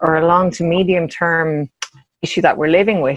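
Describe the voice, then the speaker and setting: In an Irish accent, a woman speaks at a fairly low pitch. Her pitch variation is ordinary. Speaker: policy researcher. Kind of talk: panel discussion.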